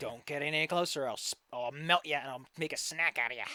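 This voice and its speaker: A put-on character voice hisses. It rattles along at a very fast pace. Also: man, fairly high pitch for a man. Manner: threatening, hissing.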